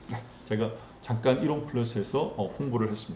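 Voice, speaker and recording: A man speaks in a Gyeongsang accent. His tone is dark and mellow, and somewhat breathy. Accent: Gyeongsang dialect, noticeable. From Gyeongsang province, South Korea. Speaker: network marketing distributor, book reviewer. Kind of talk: book summary and talk, reading aloud.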